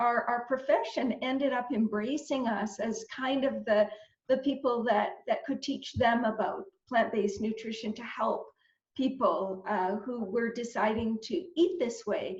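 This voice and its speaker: A woman's fairly high pitch with ordinary pitch variation, at a fairly slow pace. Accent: Canadian. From Canada, Northern Ontario. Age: 60s. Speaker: dietitian. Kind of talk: interview. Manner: halting, many repetitions.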